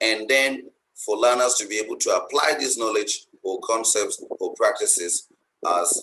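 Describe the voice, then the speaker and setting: This man speaks at a fairly slow pace. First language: a local language, not English. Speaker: English language teaching lecturer. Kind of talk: webinar lecture. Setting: video call. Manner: hesitant, with many fillers.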